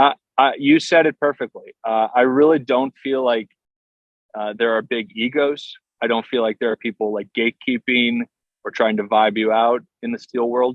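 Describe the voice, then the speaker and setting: A normal speaking voice at a moderate pace. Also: man, medium pitch for a man. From southeast Pennsylvania, US. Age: 30s. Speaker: steel guitarist. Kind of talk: podcast interview. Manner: casual, many fillers and restarts.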